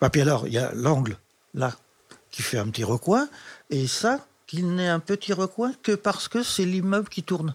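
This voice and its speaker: With very wide pitch swings, a man with a high pitch speaks at a moderate pace, leaving long, frequent pauses. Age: 80s. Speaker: retired special educator. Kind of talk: interview. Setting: in his living room.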